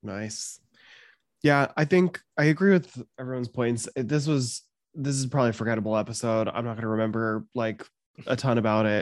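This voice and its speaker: Over a quiet background, a man with a plain, everyday voice and medium pitch talks at a fairly quick pace with ordinary pitch variation, the sound dry and close with no echo. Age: 30s. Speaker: podcast co-host, first-time viewer. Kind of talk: casual chat.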